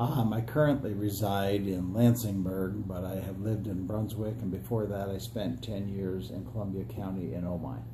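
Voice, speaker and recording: A man with an American accent and a fairly low voice talks at a moderate pace with hardly any pauses and ordinary pitch variation, with audible room echo around him. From upstate New York (Adirondacks). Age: 60s. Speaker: political candidate, retired school superintendent. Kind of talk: interview. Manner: hesitant fillers.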